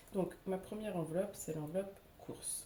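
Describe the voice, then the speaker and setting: With a dark, mellow tone, the woman speaks in a somewhat breathy way, her pitch varying in an ordinary manner. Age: 30s. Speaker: budget vlogger. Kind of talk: casual talk to camera. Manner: hesitant, many filler sounds.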